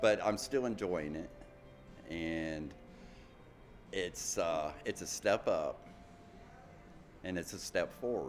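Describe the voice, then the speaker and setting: A man in an American accent, at a very slow pace with long, frequent pauses. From US Midwest, Ohio. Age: 60s. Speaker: documentary interviewee. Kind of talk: interview testimony. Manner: halting, many restarts.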